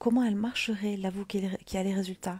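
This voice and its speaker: Soft-spoken and somewhat breathy, a woman talks at a moderate pace with a medium pitch, a dark, mellow tone and fairly even intonation. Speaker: mindset coach. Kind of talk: motivational livestream talk. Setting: livestream at home.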